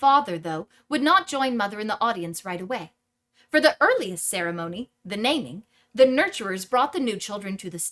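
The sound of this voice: The voice is an unforced reading voice, heard over a quiet background.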